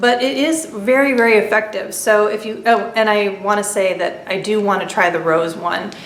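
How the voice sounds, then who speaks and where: At a moderate pace, a woman talks at a medium pitch, with noticeable background noise and audible room echo. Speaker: beauty vlogger. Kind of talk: casual product review monologue.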